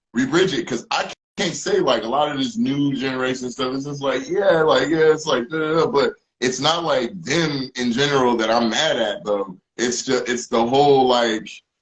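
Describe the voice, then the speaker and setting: A man's normal speaking voice, fairly high-pitched, with ordinary pitch variation and a moderate pace. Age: 40s. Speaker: musician. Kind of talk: casual chat.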